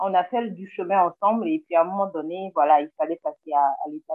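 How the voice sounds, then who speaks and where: A plain, everyday voice speaks at a moderate pace with ordinary pitch variation. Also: woman. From Togo. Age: 30s. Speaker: podcast guest, listener. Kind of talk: casual chat. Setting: video call. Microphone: Zoom recording, poor sound.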